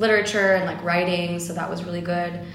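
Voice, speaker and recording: Against noticeable background noise, a woman with an American accent speaks at a fairly low pitch with fairly even intonation. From Los Angeles, US. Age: young. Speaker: entrepreneur, marketing agency owner. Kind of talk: interview, casual chat.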